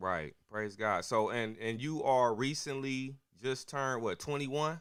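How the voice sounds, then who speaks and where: This man has an ordinary speaking voice at medium pitch. He speaks at a fairly slow pace with ordinary pitch variation. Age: 40s. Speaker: pastor and podcast host. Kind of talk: interview. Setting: livestream.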